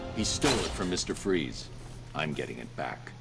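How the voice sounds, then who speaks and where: A man uses a put-on character voice with a very deep, low pitch, at a moderate pace. Loud background noise surrounds him. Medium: video game. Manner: terse, grim.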